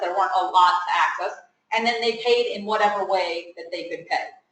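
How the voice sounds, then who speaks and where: A bright, sharp tone with audible room echo. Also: woman. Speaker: pharmacist speaker at student seminar. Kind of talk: informal talk to students. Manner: loud; conversational, asks audience questions.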